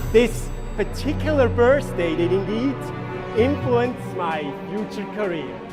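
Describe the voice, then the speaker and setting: A man speaks fairly slowly while music plays in the background. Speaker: stage illusionist. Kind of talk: live stage performance narration.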